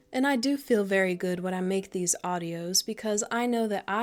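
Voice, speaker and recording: A woman with a plain, everyday voice talks at a moderate pace in a medium pitch with ordinary pitch variation. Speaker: ASMR creator. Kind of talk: ASMR Q&A to camera, doting comforting talk. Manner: soft-spoken, gentle, comforting.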